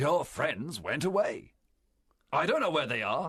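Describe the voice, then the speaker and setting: A man puts on a character voice. He speaks at a high pitch. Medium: read story. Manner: forceful, persuasive.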